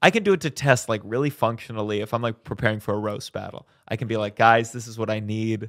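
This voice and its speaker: Speaking at a very fast pace, a man with a medium pitch keeps his intonation fairly even in a very clean recording with a silent background. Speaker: stand-up comedian. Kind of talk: casual chat. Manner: loud.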